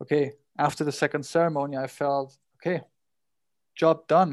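In a very clean recording with a silent background, a man speaks with a German accent at a fairly high pitch. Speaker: podcast host. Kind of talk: casual chat; scripted narration.

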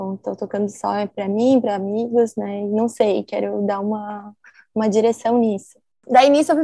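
Her speech moves fairly quickly. The recording sounds dry and close, without any echo. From southern Brazil, Santa Maria, Rio Grande do Sul. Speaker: DJ. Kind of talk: interview.

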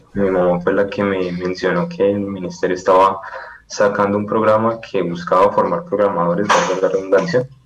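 A man talks at a moderate pace with a fairly low pitch and ordinary pitch variation. Noticeable background noise and audible room echo are present. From Colombia, Palmira (Valle del Cauca). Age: 20s. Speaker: software programmer. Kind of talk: interview.

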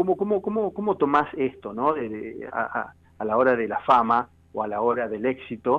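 At a moderate pace, a man talks with a medium pitch. His pitch swings very widely. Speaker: radio host. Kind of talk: interview. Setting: radio studio. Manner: halting, many repetitions.

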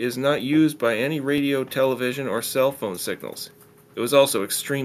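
Plain out-loud reading, the intonation fairly even throughout

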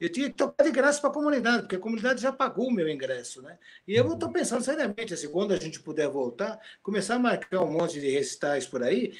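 At a very fast pace, a man talks in a high pitch with very wide pitch swings. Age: 60s. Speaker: retired guitar professor and composer. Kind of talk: casual interview.

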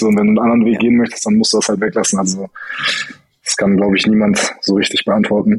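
Fairly even intonation marks this man's fairly low voice. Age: 20s. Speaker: former judo athlete, incoming state coach. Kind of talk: interview.

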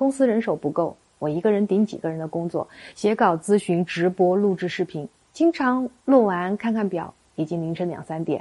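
A woman's medium-pitched voice with a dark, mellow tone, lively intonation and a moderate pace against a quiet background. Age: 40s. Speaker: marriage counselor. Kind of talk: scripted narration.

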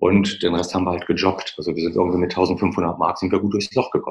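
Fairly even in intonation, a man talks with a very deep, low pitch. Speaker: financial advisor. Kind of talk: interview. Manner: halting.

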